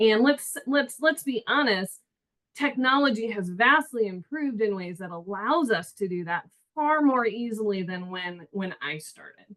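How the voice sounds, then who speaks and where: Loud and with lively intonation, a woman speaks at a moderate pace. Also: fairly high pitch for a woman. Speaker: panelist. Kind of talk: panel discussion.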